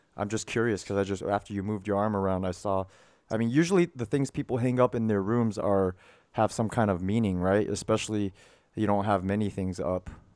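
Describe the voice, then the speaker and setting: The man talks at a fairly quick pace. His fairly low pitch shows ordinary variation. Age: 30s. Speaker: podcast host and marketing coach. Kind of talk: casual coaching chat. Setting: video call. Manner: animated.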